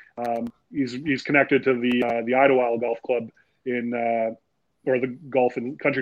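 A medium-pitched man in a Canadian accent, monotone and flat, at a moderate pace. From Timmins, northern Ontario, Canada. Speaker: golf association director. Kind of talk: casual interview.

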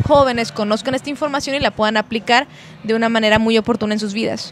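A woman speaks at a very fast pace and a fairly high pitch. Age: 30s. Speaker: psychologist and speaker. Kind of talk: podcast interview. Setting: brewery venue.

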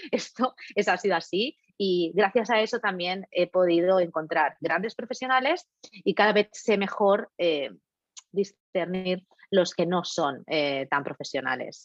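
An unremarkable speaking voice moves at a fairly slow pace with lively intonation. The sound is dry and close, with no echo. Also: woman, medium pitch for a woman. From Catalonia, Spain. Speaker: facialist, beauty business owner. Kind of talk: casual interview.

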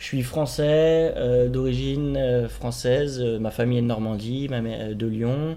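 Amid audible room echo, a man with a medium pitch and a dark, mellow tone speaks at a very slow pace with lively intonation. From Paris, France. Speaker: host's partner. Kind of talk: casual chat.

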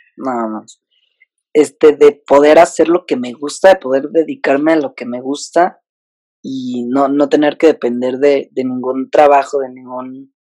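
Dry and close with no echo, an ordinary speaking voice moves at a fairly slow pace with fairly even intonation and big swings in loudness. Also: man, fairly high pitch for a man. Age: 20s. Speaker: digital comedian. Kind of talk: casual interview chat. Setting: video call.

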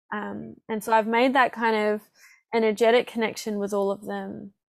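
A woman with an Australian accent and monotone, flat intonation, on a very clean recording against a silent background. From Perth, Western Australia. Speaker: healing and breathwork practitioner. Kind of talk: casual interview chat.

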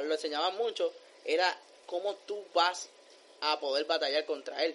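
High male pitch with ordinary variation in its rise and fall. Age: 20s. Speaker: film podcast guest. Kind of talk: casual chat. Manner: animated.

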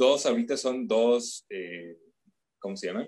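The sound is dry and close, with no echo. A man speaks with very wide pitch swings. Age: 30s. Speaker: voice actor. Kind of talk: interview. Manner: hesitant.

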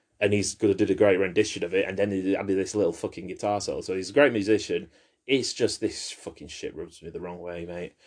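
A man with a British accent talks at a very fast pace and a fairly low pitch. His intonation is fairly even, over a quiet background. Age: 30s. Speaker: podcast host. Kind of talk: casual chat.

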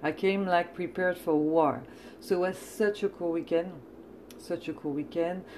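A woman's fairly low voice with a French accent. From France. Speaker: podcast host and comedian. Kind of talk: casual chat. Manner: animated, chatty.

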